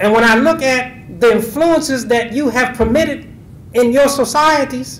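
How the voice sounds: A man speaks at a fairly slow pace in an extremely high pitch, his fairly bright tone carrying ordinary pitch variation through audible room echo.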